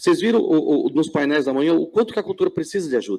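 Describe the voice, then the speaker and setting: Lively intonation and vocal fry mark this man's fairly high-pitched voice. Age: 60s. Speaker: panel moderator. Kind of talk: panel discussion. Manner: halting, many repetitions.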